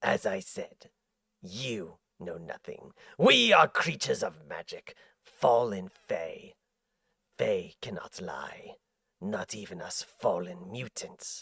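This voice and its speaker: A man's put-on character voice at a fairly slow pace, broken by long, frequent pauses. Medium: virtual streamer. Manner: slow, hypnotic, persuasive.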